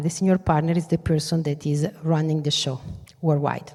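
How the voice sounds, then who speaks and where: A dark, mellow tone with an Italian accent, at a fairly quick pace. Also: woman. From northern Italy, Venice lagoon area. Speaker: business executive, keynote speaker. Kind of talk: keynote speech. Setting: stage with audience. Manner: animated.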